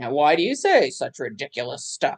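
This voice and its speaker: A gruff, growling put-on character voice delivers the lines at a moderate pace. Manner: indignant.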